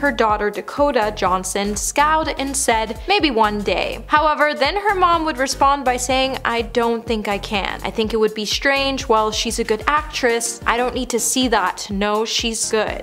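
Over faint music in the background, a woman speaks at a fairly slow pace with ordinary pitch variation. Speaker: online show host. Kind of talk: scripted entertainment narration. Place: studio.

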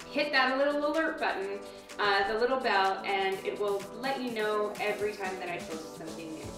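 A woman talks at a fairly quick pace. Clear music plays in the background and the room echo is audible. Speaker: fitness instructor. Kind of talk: workout tutorial. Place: home room.

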